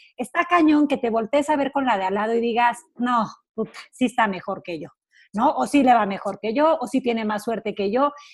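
Her pitch is fairly high, and the woman's intonation is lively. She speaks at a moderate pace. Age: 30s. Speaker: radio host and life coach. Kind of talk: casual chat. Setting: radio studio.

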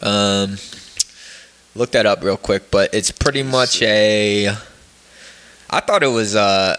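A man with an American accent talks at a very slow pace, his loudness very even and his pitch fairly low. His intonation stays fairly even, and there is noticeable background noise. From northeastern Pennsylvania (Poconos). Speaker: podcast host. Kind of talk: casual chat.

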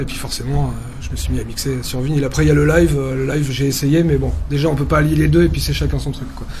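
A man talks at a very fast pace over noticeable background noise, with audible room echo. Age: 30s. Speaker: DJ and radio host. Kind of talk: interview.

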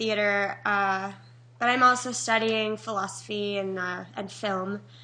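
In a fairly high pitch and a bright, sharp tone, a woman speaks at a fairly slow pace with ordinary pitch variation and audible room echo. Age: 20s. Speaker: podcast host and theater student. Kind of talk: interview; scripted intro.

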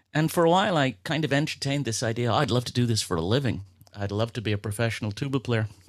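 On a very clean recording with a silent background, a man speaks with an American accent. His medium-pitched voice moves at a very fast pace with lively intonation. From Belfast, Northern Ireland. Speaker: music teacher. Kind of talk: casual interview conversation.

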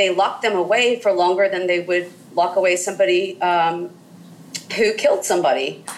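Noticeable background noise sits behind a woman with an American accent. Her medium-pitched voice moves at a fairly quick pace with fairly even intonation. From US South, southern Mississippi. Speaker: historian. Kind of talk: interview. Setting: call. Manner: halting, many fillers.

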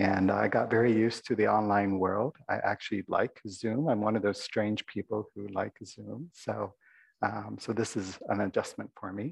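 A soft-spoken man's voice with vocal fry, a slightly husky edge, fairly even intonation and a moderate pace. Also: fairly low pitch for a man.

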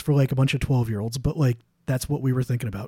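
Somewhat breathy and dark, mellow in tone, a man's voice sits at a fairly high pitch. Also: dry, close sound with no echo. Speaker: guest co-host podcaster. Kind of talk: casual chat.

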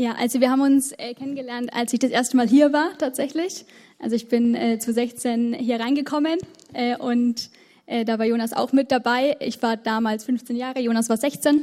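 A woman speaks at a moderate pace with a high pitch and fairly even intonation, her tone dark and mellow. The recording is very clean, with a silent background. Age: 20s. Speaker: bank clerk, church member. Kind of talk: panel talk, personal sharing. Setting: church stage with audience.

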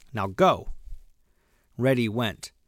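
In a very clean recording with a silent background, a man speaks at a medium pitch with a bright, sharp tone. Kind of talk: audiobook reading of a children's story, bedtime story telling. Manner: gentle, slow, storyteller's pacing.

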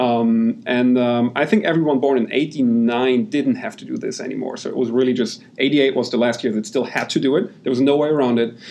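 A man with a German accent at a medium pitch, fairly quick, with hardly any pauses and ordinary pitch variation. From Germany. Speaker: software company founder. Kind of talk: interview.

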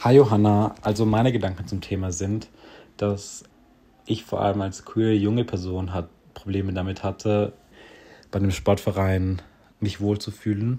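Pausing long and often, a man speaks at a moderate pace in a fairly low pitch, his dark, mellow tone keeping fairly even intonation. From South Tyrol. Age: young. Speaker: student. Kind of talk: voice message.

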